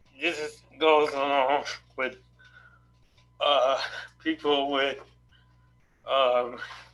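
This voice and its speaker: A man speaks very slowly, with long, frequent pauses and audible room echo. His voice is fairly high-pitched, with monotone, flat intonation. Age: 60s. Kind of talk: question at virtual town hall. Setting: video call. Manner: halting.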